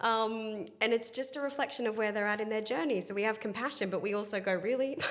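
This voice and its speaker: A woman's fairly high voice at a very fast pace, in an Australian accent, with audible room echo. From Australia, Sydney. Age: 30s. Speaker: spiritual healer. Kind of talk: interview. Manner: animated.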